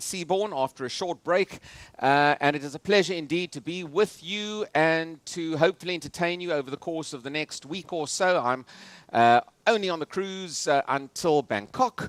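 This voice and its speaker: A man with a South African accent talks at a moderate pace in a high pitch with ordinary pitch variation. The sound is dry and close with no echo, on a very clean recording with a silent background. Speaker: political analyst and futurist speaker. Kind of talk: lecture. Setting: stage with audience on cruise ship. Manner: many filler hesitations.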